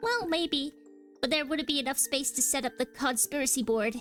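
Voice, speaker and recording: A woman's put-on character voice, high in pitch and moderate in pace, with clear music in the background. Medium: fan dub.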